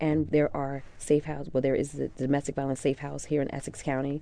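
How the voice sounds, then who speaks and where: A woman with an American accent, her pitch very deep and low, her tone dark and mellow. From Newark, New Jersey (South Ward). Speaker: domestic violence social worker. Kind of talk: panel discussion on public radio. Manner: measured, filler-heavy with frequent 'um'.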